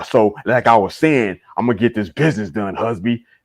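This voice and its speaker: A woman puts on a gruff character voice, pitched very deep and low, talking at a fairly quick pace on a very clean recording with a silent background. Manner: tough, assertive.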